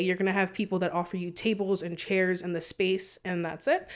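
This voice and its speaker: A woman with an American accent has an unremarkable speaking voice at medium pitch. She speaks at a moderate pace over a very clean recording with a silent background. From San Antonio, Texas. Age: 20s. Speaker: wedding planner. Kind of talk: casual chat. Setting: studio.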